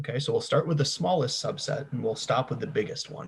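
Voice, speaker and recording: This is a man with a fairly high pitch. Vocal fry runs through his voice. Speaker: university lecturer. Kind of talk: lecture.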